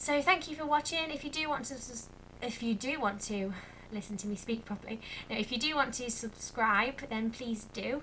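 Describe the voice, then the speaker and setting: A voice in an English accent with ordinary pitch variation and noticeable background noise. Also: woman, high pitch for a woman, moderate pace. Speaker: vlogger, primary school teacher. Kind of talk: casual vlog chat. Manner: hesitant with many fillers.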